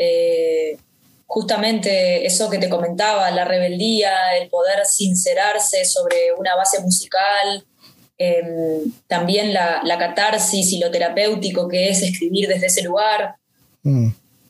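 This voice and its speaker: An unremarkable speaking voice from a woman, medium in pitch, fairly slow, with fairly even intonation and very even loudness. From Uruguay, Montevideo. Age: 30s. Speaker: rapper and actress. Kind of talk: interview conversation.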